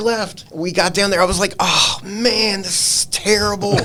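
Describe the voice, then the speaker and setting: Male speaker in an American accent at a moderate pace, with noticeable background noise and audible room echo. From Virginia, US South. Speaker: pet photographer. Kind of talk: casual chat. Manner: casual, halting.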